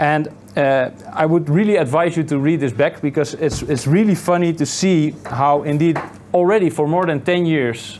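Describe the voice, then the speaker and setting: A man with a Dutch accent and a fairly high pitch, amid noticeable background noise. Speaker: meetup organizer and interviewer. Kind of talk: interview at a meetup. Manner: halting.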